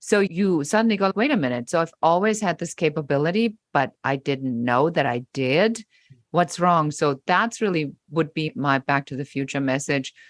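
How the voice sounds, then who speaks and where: A woman speaks in a very deep, low voice with a slight German accent. Her intonation is lively. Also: moderate pace, dry, close sound with no echo. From Germany. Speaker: business coach. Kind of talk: podcast interview.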